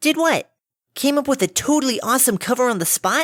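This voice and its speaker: A high-pitched, put-on character voice. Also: fairly quick pace. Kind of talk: fan fiction audiobook reading. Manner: bubbly, upbeat.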